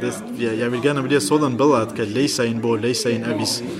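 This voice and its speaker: Over noticeable background noise and audible room echo, a man talks at a fairly quick pace and medium pitch with fairly even intonation. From Iran (Kurdish). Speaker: language student, school bus driver. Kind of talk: interview. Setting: language café.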